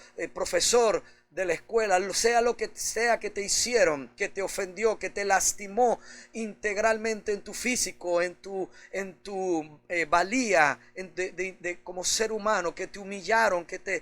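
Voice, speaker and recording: Over a silent background in a very clean recording, a man talks at a fairly slow pace with a high pitch and fairly even intonation. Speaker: pastor. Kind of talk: sermon preaching.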